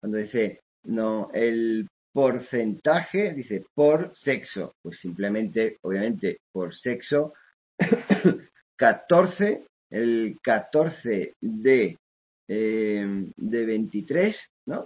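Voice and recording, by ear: Delivered at a very slow pace, the voice has a slightly mellow tone, a slightly husky edge and lively intonation. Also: man, fairly low pitch for a man.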